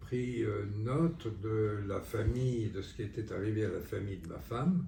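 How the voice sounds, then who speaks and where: A man's voice over noticeable background noise. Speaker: rheumatologist, former wartime resistance member. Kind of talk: interview answer.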